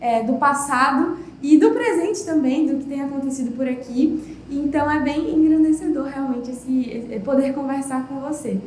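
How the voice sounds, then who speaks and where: A woman with a high pitch and fairly even intonation speaks in a northeastern Brazilian accent, with audible room echo. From Pernambuco, Brazil, near Bahia border. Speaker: podcast host. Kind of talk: podcast interview.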